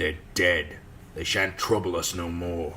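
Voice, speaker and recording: A man puts on a raspy character voice, pitched very deep and low. He speaks at a moderate pace over clear background noise. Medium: read story. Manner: gruff, blunt.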